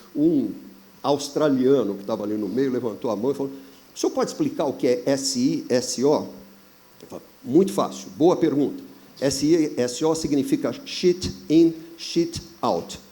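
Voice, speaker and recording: This man's speech is fairly slow, with long, frequent pauses. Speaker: business consultant. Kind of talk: panel discussion.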